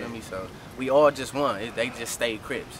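A man speaks at a fairly quick pace with ordinary pitch variation, in a dry sound with no echo and noticeable background noise. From South Central Los Angeles. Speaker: rapper. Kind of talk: casual street interview. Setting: outdoors walking on street. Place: street.

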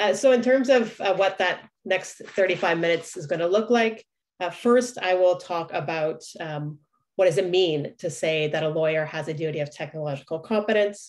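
Against a quiet background, a woman with an ordinary speaking voice talks at a moderate pace, at a medium pitch and with ordinary pitch variation. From Canada. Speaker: law professor. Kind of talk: lecture. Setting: video call. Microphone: webcam.

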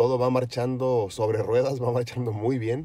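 A man talking at a fairly slow pace, the sound dry with no echo. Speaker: vlogger on a fitness journey. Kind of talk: casual vlog chat. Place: car. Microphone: phone near.

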